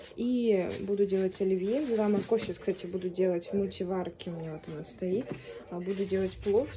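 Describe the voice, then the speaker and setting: At a fairly quick pace, a woman talks in a medium pitch with ordinary pitch variation and big swings in loudness over noticeable background noise. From Russia, Saint Petersburg. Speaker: ASMR and mukbang vlogger. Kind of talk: casual talk to camera. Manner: chatty, relaxed. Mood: low mood, tired. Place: home room. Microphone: phone near.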